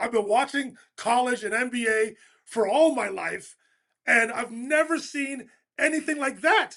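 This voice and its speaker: A man with a bright, sharp tone projects his raised voice at a moderate pace, using ordinary pitch variation. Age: 60s. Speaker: basketball commentator. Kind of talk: casual sports talk.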